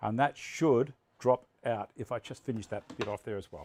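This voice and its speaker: The dry, close sound with no echo carries a man speaking with an Australian accent. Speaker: woodworking livestream host. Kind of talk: live workshop demonstration with chat. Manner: loud.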